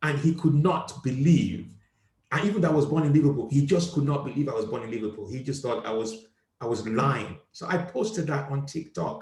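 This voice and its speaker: With an African accent, a man speaks at a fairly quick pace in a fairly high pitch, with lively intonation. His voice is somewhat breathy, and there is audible room echo. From Nigeria. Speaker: comedian, show host. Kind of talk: casual chat.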